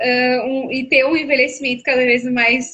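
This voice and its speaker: This woman has a high pitch and a southern Brazilian accent. She talks at a fairly slow pace. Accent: gaúcho (southern Brazilian). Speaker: psychologist. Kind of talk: live stream conversation. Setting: online live stream.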